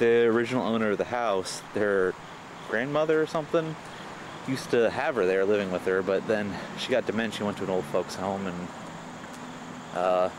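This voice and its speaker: Over noticeable background noise, a man with an American accent talks at a moderate pace in a fairly low pitch, with ordinary pitch variation and long, frequent pauses. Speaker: vlogger filming a walk. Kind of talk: casual walking vlog monologue. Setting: outdoors on a bike path. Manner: soft-spoken. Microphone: camcorder mic, voice recorded very quiet.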